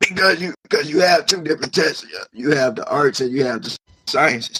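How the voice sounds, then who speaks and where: Recorded dry and close with no echo, a man speaks fairly quickly at a fairly high pitch, his tone bright and sharp and his intonation lively. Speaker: funeral director. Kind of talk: interview answer. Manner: casual, repetitive.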